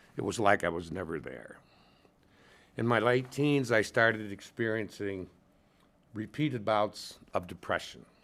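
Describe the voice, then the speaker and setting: With a Midwestern US accent, a man of fairly low pitch speaks at a fairly slow pace, with long, frequent pauses. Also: ordinary pitch variation. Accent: US Midwest. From Michigan, Lansing area. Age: 70s. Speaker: retired lawyer, abuse survivor testifying. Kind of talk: legislative testimony. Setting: committee hearing room. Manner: formal.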